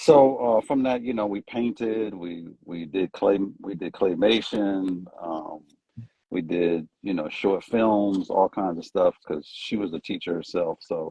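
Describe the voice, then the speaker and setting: This man has a fairly low pitch and ordinary pitch variation. He speaks at a fairly slow pace. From US East Coast. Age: 50s. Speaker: fashion stylist. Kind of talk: interview on a livestream. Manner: halting, many fillers.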